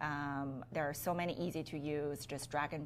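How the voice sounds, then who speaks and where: The speaker has a Chinese accent and talks at a fairly slow pace. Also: woman. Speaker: business owner. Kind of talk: podcast interview.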